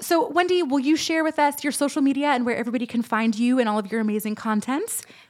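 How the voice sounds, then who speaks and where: Talking at a very fast pace with hardly any pauses, a woman uses a high pitch and ordinary pitch variation. Her tone is animated, and noticeable background noise comes through. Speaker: podcast host. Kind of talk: casual chat.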